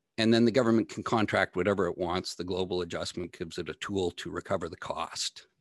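A man with a Canadian accent talks at a very fast pace, his pitch very deep and low. His intonation is fairly even, and the sound is dry and close with no echo. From Ontario, Canada. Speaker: energy policy blogger and data analyst. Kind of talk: interview.

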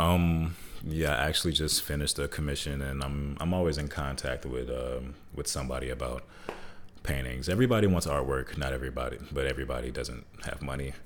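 A man talks at a fairly quick pace in a very deep, low pitch. His intonation is fairly even, with audible room echo. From Michigan, then Hampton, Virginia from age 15. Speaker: former basketball player and artist. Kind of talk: casual interview.

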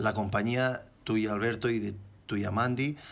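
A plain, everyday voice, fairly slow, its pitch varying in an ordinary way. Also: man. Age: 40s. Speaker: motorcycle accident survivor. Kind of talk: interview.

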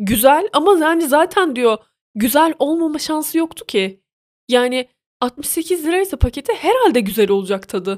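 A woman's high voice with very wide pitch swings, fairly slow, in a dry, close sound with no echo. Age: 20s. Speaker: podcaster. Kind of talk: casual monologue. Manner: animated.

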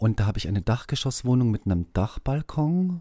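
A man's dark, mellow tone with ordinary pitch variation comes through a very clean recording with a silent background. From southern Germany. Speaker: school social worker. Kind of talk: interview. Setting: school basement studio.

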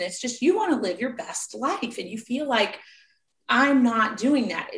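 In a room with audible echo, a woman speaks at a moderate pace with high pitch and lively intonation. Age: 40s. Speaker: personal trainer and life coach. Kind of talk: interview.

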